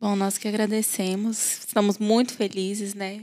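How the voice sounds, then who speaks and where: Her delivery is monotone and flat, as a woman talks at a medium pitch. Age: 20s. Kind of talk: casual chat.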